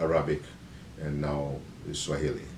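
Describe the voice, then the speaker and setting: A man's voice with audible room echo. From Kenya, Nairobi. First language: Bukusu. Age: 50s. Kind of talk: self-introduction. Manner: hesitant, many fillers.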